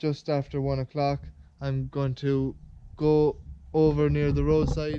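A man with an Irish accent talks at a very slow pace, his fairly high pitch carrying a dark, mellow tone. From Ireland. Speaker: farmer and video creator. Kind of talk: casual vlog narration. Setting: outdoors on a farm. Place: farm. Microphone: phone near.

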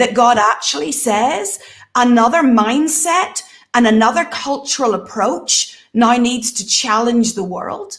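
Against a quiet background, a woman with a high voice talks at a fairly slow pace, her tone animated and her intonation lively. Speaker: prophetic minister and show host; prophetic minister, show host. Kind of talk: casual panel Q&A discussion. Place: home room. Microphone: webcam.

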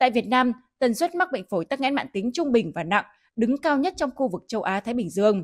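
Against a quiet background, a woman talks very fast in a high voice. Her pitch swings very widely. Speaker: news anchor. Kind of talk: news reading. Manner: formal.

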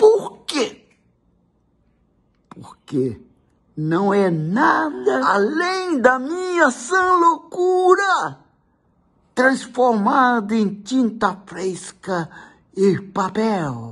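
A man's very slow speech, high-pitched for a man, with very wide pitch swings and long, frequent pauses over a quiet background. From Brazil. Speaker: actor. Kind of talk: poetry reading. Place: home room. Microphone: phone near.

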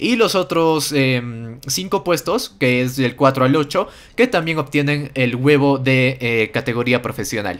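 This man's medium-pitched voice has lively intonation and an animated tone, moving at a fairly slow pace with hardly any pauses. The recording is very clean, with a silent background. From Peru. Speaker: gaming youtuber. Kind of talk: gameplay commentary.

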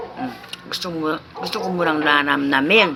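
Her pitch is very deep and low. The woman's voice carries audible room echo amid noticeable background noise. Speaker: vlogger. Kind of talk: casual food vlog. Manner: chewing while talking.

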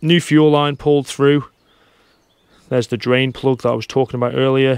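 A man speaks with monotone, flat intonation. The sound is dry with no echo, over a quiet background. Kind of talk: tutorial. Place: boat. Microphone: phone near.

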